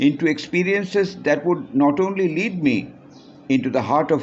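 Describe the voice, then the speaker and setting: A man speaks with a normal speaking voice. His pace is fairly slow and his intonation lively. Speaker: author. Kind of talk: reading aloud.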